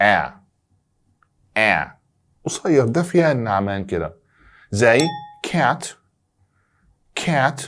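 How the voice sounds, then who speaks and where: The speech comes at a very slow pace with long, frequent pauses. The pitch swings very widely. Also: man, medium pitch for a man. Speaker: English teacher. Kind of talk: tutorial. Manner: animated.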